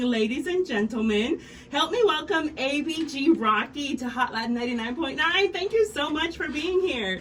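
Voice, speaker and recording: A woman's intonation rises and falls in a lively way while noticeable background noise fills the recording. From Mexico. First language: Spanish. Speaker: radio host. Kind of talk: scripted introduction. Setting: radio studio.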